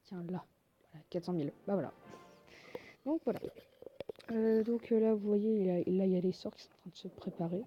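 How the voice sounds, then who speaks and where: With music in the background, a woman of medium pitch speaks at a moderate pace, her pitch varying in an ordinary way and broken by long, frequent pauses. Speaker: gaming video creator. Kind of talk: casual gameplay commentary. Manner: hesitant, many fillers.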